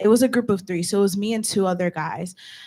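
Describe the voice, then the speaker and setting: Intonation here is lively. The voice is a normal speaking voice. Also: woman. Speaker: student senator. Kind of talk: student government meeting discussion. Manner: casual, filler-heavy speech.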